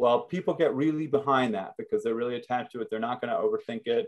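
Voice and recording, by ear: A man talks at a fast pace and a medium pitch, his intonation fairly even.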